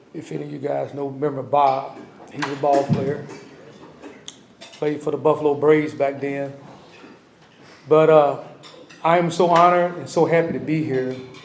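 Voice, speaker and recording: Over noticeable background noise and audible room echo, a man with a fairly high pitch speaks in a monotone, flat way at a moderate pace, his loudness swinging widely and his speech broken by long, frequent pauses. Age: 70s. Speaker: navy veteran, hall of fame inductee. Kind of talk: acceptance speech. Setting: ceremony with audience. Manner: halting.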